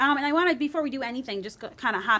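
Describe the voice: A woman's high voice, fairly bright in tone, with lively intonation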